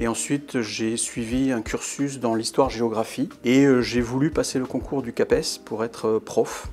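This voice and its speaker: Fairly slow, monotone, flat speech with hardly any pauses. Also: man, medium pitch for a man. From southern France, Montpellier region. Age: 60s. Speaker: journalist. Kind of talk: interview testimony about career. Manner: hesitant, many filler sounds.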